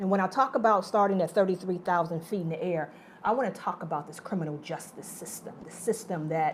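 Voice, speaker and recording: A woman with an American accent talks at a fairly quick pace in an animated tone, her medium pitch showing ordinary variation while her loudness swings widely. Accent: occasional Southern. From Detroit, Southern family roots. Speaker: nonprofit executive director, moderator. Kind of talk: onstage moderated conversation. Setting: stage with audience.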